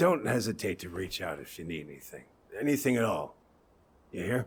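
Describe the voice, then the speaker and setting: Putting on a raspy character voice, a man speaks at fairly low pitch and a fairly quick pace, with very wide pitch swings and big swings in loudness. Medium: video game. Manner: hesitant, halting.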